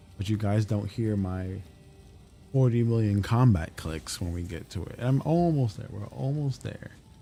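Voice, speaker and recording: Music plays in the background as a man talks at a moderate pace. His fairly low voice has lively intonation. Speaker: video game streamer. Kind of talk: live gameplay stream chat. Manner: pitch rises when excited.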